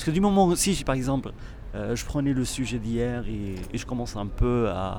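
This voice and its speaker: The speaker uses lively intonation. The pace is moderate. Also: man. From Morocco. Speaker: performing and visual artist. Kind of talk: interview. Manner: halting, frequent repetitions.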